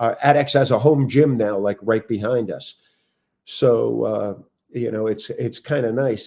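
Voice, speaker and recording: In a plain, everyday voice, the speaker goes at a fairly slow pace with fairly even intonation. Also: man, medium pitch for a man. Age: 60s. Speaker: fitness business owner. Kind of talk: casual interview chat.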